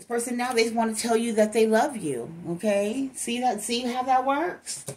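A woman speaks at a high pitch with lively intonation. Her pace is moderate. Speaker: tarot card reader. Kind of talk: casual tarot reading commentary. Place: home room. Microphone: phone near.

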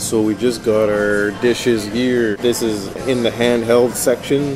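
Clear music plays in the background as a man speaks at a very slow pace with monotone, flat intonation. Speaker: food reviewer. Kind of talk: casual food review narration. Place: bar. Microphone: phone near.

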